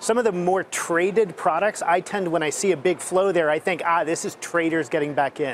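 The speech comes at a fairly quick pace with hardly any pauses and ordinary pitch variation, the sound dry with no echo and light background noise. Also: man, high pitch for a man. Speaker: ETF industry analyst. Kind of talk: TV panel discussion. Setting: studio. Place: hall. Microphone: lapel.

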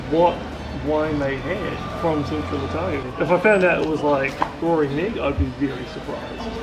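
A man talks at a moderate pace while music plays clearly in the background. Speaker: food vlogger. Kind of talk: casual vlog chat. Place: cafe. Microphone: phone near.

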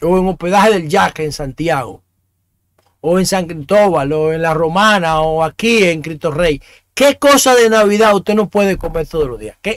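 Lively intonation marks a man's high-pitched voice, recorded dry with no echo against a quiet background. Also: moderate pace. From Dominican Republic. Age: 50s. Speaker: talk show host. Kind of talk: opinion monologue. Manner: halting, with frequent repetitions. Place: home room. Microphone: studio mic.

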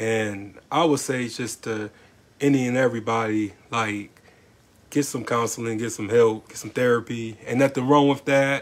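A man at medium pitch, moderate in pace, with fairly even intonation. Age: 30s. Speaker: podcast host. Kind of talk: casual chat.

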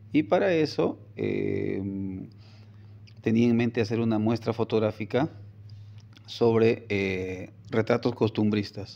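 At a very slow pace and with long, frequent pauses, a man speaks with a fairly low pitch and ordinary pitch variation. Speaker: photographer and communications professor; communications professor. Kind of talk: interview. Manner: hesitant repetitions. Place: office. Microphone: phone near.

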